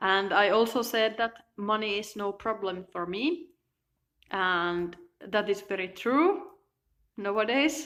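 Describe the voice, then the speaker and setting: A woman with a Finnish accent speaks at a medium pitch with ordinary variation, leaving long, frequent pauses. The recording is very clean, with a silent background. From Finland. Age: 20s. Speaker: self-help vlogger. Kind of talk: personal video monologue. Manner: halting.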